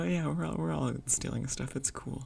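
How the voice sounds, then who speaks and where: Whispered speech from a woman, at a moderate pace. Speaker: gaming video creator. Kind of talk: unscripted rant. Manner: whispering; halting.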